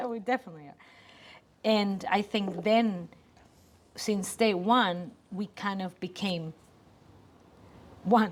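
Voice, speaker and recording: A woman with a Spanish accent speaks at a very slow pace, with long, frequent pauses. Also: medium pitch for a woman, fairly even intonation, big swings in loudness. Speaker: creative business co-owner. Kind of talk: casual chat. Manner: halting.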